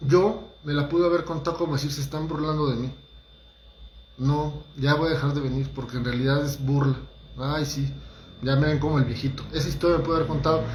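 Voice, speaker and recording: Amid audible room echo, a man speaks fairly quickly with a fairly high pitch and fairly even intonation. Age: 40s. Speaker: holistic therapist giving talks. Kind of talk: motivational talk livestream. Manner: casual, conversational with hesitations.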